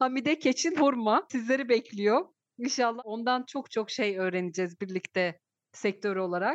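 A woman with a plain, everyday voice speaks at a moderate pace in a fairly high pitch, with lively intonation and a dry, close sound with no echo. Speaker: university lecturer and podcast host. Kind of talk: interview; show intro and outro.

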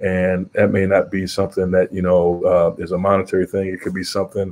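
A man with an American accent talks at a very fast pace. His pitch is very deep and low. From Western New York. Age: 40s. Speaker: college basketball coach. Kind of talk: interview. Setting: video call.

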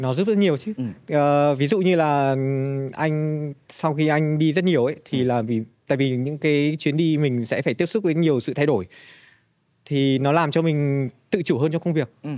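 A man speaks at a moderate pace in a fairly high pitch, with ordinary pitch variation and a dark, mellow tone. The recording is very clean, with a silent background. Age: 40s. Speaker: travel company product director. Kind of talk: casual interview.

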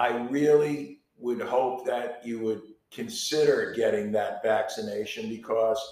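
A man's unremarkable speaking voice with lively intonation. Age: 60s. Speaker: podcast co-host and artist. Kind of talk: casual chat.

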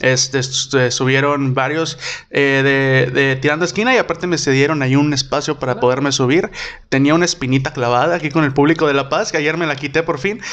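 A man speaks at a very fast pace. His voice is fairly high, with fairly even intonation. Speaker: podcast host and comedian. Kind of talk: casual chat.

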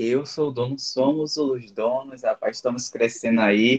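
With an ordinary speaking voice, a man at a fairly high pitch talks at a fairly slow pace with fairly even intonation in a dry, close sound with no echo. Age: 20s. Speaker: podcast guest. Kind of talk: casual chat.

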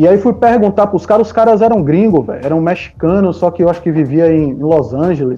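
Fairly quick, high-pitched speech from a man with lively intonation and hardly any pauses, music playing in the background. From Brazil, Salvador, Bahia. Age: 40s. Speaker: music producer and DJ. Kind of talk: casual interview chat.

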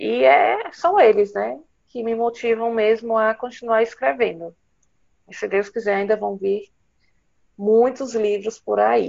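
A woman speaks at a fairly slow pace with lively intonation. She leaves long, frequent pauses. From Ceará, northeastern Brazil. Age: 30s. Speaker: writer and nurse. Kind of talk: interview conversation.

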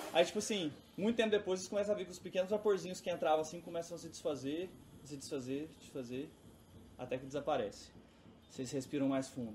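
Speaking very fast with lively intonation, a man with a fairly high pitch shows big swings in loudness and takes long, frequent pauses. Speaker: game master of a tabletop RPG stream. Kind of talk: RPG narration and play. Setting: live stream.

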